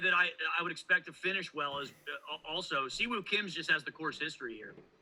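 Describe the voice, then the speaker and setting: A man at a fairly quick pace, with big swings in loudness and noticeable background noise. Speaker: golf betting podcast co-host. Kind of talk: casual chat. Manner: fast.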